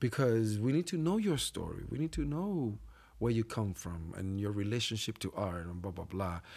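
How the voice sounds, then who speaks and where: With a Puerto Rican accent, a man speaks with lively intonation on a very clean recording with a silent background. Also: fairly low pitch for a man, moderate pace. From Puerto Rico. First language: Spanish. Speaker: theater actor and company co-founder. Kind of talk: casual interview chat.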